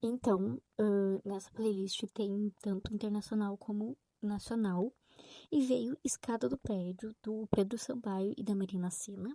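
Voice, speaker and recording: A woman whispers at a very slow pace. The sound is dry and close, with no echo. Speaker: book vlogger. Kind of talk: casual vlog. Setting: home, late at night. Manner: whispering.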